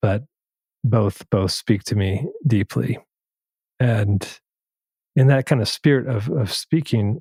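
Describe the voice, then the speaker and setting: Dry and close with no echo, a man's somewhat breathy voice has a dark, mellow tone at medium pitch. He talks very slowly, with long, frequent pauses. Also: ordinary pitch variation. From Minnesota. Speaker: podcast host. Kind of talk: interview conversation.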